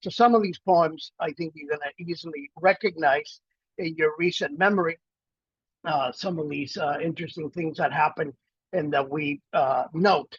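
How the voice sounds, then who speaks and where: A man with an American accent speaks at a moderate pace and fairly high pitch with ordinary pitch variation, the sound dry and close with no echo. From Miami, South Florida (Cuban-born, arrived as child). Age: 60s. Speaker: poet and professor. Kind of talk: casual talk before a poetry reading. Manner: halting, many fillers.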